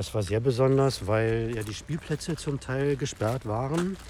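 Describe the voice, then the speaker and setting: Ordinary pitch variation in a man's voice, with noticeable noise in the background. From Berlin (Steglitz). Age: 50s. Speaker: author and illustrator. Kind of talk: casual interview. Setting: outdoors in a city park.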